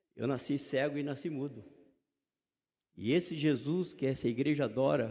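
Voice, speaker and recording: Amid audible room echo, a man with a dark, mellow tone, fairly high pitch and vocal fry talks at a moderate pace, leaving long, frequent pauses. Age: 60s. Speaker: preacher. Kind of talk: sermon. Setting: church.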